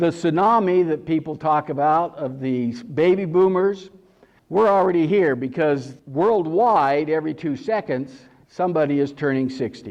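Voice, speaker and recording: This man has a normal speaking voice, a fairly high pitch with ordinary variation, and a moderate pace. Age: 60s. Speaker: special agent against senior abuse. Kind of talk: workshop presentation. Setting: conference workshop with audience.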